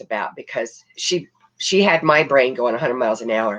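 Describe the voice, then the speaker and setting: Vocal fry with very wide pitch swings at a moderate pace. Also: woman. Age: 70s. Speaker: crisis management trainer and former disaster inspector. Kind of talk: interview.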